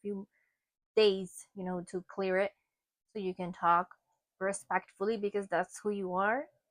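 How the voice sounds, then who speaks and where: A woman at medium pitch with a Spanish accent, moderate pace, and a dry, close sound with no echo. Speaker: tarot reader. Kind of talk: tarot card reading. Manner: casual, conversational.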